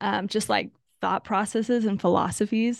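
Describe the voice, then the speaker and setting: An ordinary speaking voice moves at a moderate pace. The background is quiet. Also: woman. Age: 20s. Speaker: digital nomad and life purpose coach. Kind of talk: casual interview chat.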